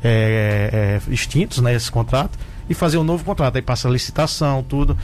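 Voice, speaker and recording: Over noticeable background noise, a man talks at a medium pitch with lively intonation. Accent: Rio Grande do Norte. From Brazil, Rio Grande do Norte (Mossoró). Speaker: doctor and municipal health secretary. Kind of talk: radio interview. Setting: radio studio.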